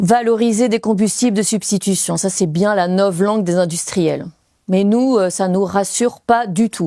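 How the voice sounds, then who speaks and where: Her dark, mellow tone at a medium pitch, a woman speaks fairly slowly with fairly even intonation and very even loudness on a very clean recording with a silent background. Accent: Belgian. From Belgium. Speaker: former French teacher, storyteller. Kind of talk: stage storytelling.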